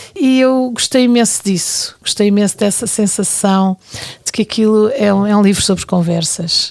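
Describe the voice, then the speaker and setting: Her pitch is medium, with ordinary variation. The woman keeps a moderate pace and very even loudness. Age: 60s. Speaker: television programming director. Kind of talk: casual chat. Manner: halting.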